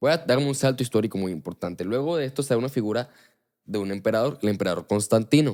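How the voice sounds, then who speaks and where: A man talks at a very fast pace in an animated tone, with lively intonation and a medium pitch. The recording is very clean, the background silent. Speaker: podcast host. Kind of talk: religious talk.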